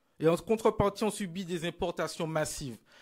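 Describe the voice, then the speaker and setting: The background is quiet as a man speaks at a moderate pace. His pitch sits fairly high. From Martinique (Basse-Pointe); Martinique. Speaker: politician. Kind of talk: political rally speech. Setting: stage with audience. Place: hall. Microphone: lapel.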